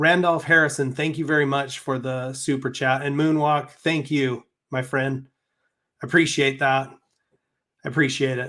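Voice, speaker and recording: A man with an American accent speaks at a fairly high pitch in a monotone, flat intonation. He leaves long, frequent pauses. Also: moderate pace. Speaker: YouTuber, crypto channel host. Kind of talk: live stream chat.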